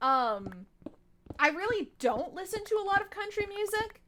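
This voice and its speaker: A woman's raised, projected voice. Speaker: gaming streamer. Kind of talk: live gameplay stream chat. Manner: casual, chatty.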